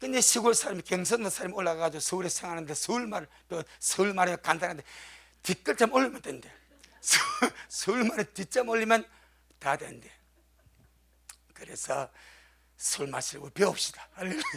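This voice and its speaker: A man with a Busan accent speaks at a fairly quick pace in a high pitch, his intonation lively. He leaves long, frequent pauses over noticeable background noise. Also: big swings in loudness. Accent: Gyeongsang (Busan) dialect. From South Korea, Gyeongsang region (Busan). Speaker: pastor. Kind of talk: sermon.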